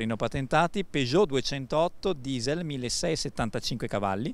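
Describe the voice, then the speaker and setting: The sound is dry, with no echo. A man talks with lively intonation at a fairly high pitch. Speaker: car dealership presenter. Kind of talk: sales pitch. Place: street. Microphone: handheld.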